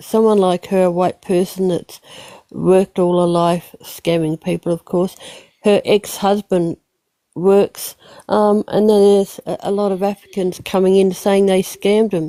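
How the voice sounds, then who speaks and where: Speaking with an Australian accent, a woman keeps a monotone, flat intonation at a medium pitch and a fairly slow pace, in a dry, close sound with no echo. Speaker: livestream participant. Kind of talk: casual chat. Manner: halting.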